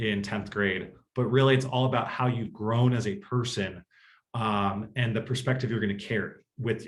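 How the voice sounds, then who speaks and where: A man talks in a somewhat breathy voice. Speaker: college admissions consultant and author. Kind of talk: presentation to parents. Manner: fast.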